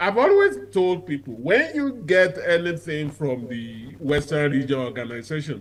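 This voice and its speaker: Barely pausing, a man with a Nigerian accent talks at a fairly high pitch with lively intonation. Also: moderate pace. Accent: Nigerian (Yoruba) English. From southwest Nigeria. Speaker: advocacy group leader. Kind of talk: TV interview. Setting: remote link.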